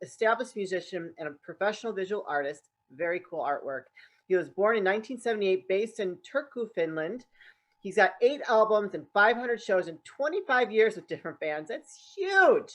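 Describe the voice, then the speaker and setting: A woman speaks with an upbeat, enthusiastic tone at a fairly quick pace and fairly high pitch. Her intonation is lively, with big swings in loudness. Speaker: podcast host. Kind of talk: podcast interview hosting.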